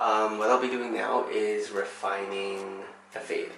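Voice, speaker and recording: A soft-spoken man talks over background music, with audible room echo. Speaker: haircut tutorial creator. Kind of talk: tutorial. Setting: home washroom. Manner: soft-spoken, talking quietly.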